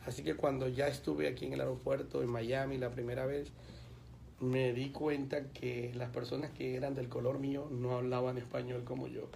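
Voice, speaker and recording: With fairly even intonation, a man at medium pitch speaks amid audible room echo. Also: moderate pace. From Colombia. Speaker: pastor. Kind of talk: radio interview.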